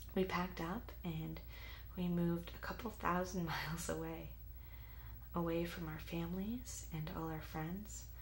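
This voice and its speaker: A soft-spoken woman talks at a moderate pace in an American accent. Noticeable background noise is present. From United States. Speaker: ASMR creator. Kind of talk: ASMR life story narration.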